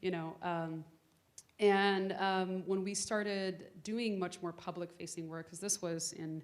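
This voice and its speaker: A woman with a medium pitch speaks at a fairly slow pace, her loudness swinging widely. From Miami, Florida (Little Havana), Cuban-American family. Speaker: activist and keynote speaker. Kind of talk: audience Q&A conversation. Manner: animated, casual, many fillers.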